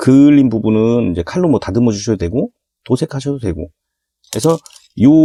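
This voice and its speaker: A man's medium-pitched voice, dark and mellow in tone, at a fairly quick pace with long, frequent pauses, in a dry, close sound with no echo and a very clean recording with a silent background. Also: lively intonation. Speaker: hobby model builder. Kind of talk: tutorial. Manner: casual, conversational.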